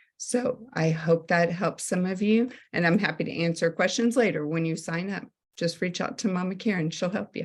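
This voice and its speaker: A woman speaks at a moderate pace with a medium pitch. Her voice is somewhat breathy, with ordinary pitch variation. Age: 60s. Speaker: network marketing consultant, former teacher. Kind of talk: sales presentation on a group call.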